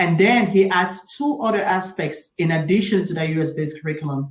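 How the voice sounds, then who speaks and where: A woman talks at a fairly quick pace with a fairly low pitch. Her voice is somewhat breathy, and her pitch varies in an ordinary way. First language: French. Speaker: doctor and entrepreneur. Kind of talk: interview conversation.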